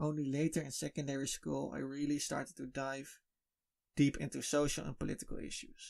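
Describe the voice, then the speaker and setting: In a very clean recording with a silent background, a man with a Dutch accent speaks at a fairly quick pace. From Netherlands. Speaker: podcast host. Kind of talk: podcast monologue. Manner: halting.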